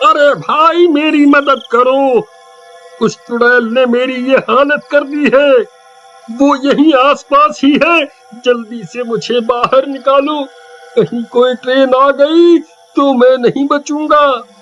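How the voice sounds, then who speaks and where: A man speaks at a fairly slow pace in a cartoonish character voice. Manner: panicked, pleading.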